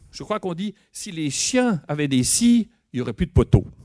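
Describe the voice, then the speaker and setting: A man speaks in a Swiss accent at a moderate pace with lively intonation. The sound is dry and close, with no echo. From Switzerland.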